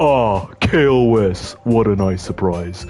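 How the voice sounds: Someone talks at a fairly slow pace in a put-on character voice. The pitch rises and falls in an ordinary way. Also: man, fairly low pitch for a man.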